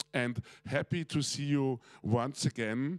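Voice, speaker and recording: This man talks at a very slow pace. His pitch is medium, with ordinary variation. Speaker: panel moderator. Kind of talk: panel discussion introduction. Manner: hesitant, many fillers.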